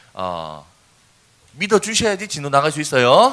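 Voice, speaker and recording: A man speaks in a Busan accent at a moderate pace, his tone animated and his pitch swinging very widely. Noticeable background noise runs behind him. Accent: Gyeongsang (Busan) dialect. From South Korea, Busan. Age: 20s. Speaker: youth speaker. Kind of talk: sermon.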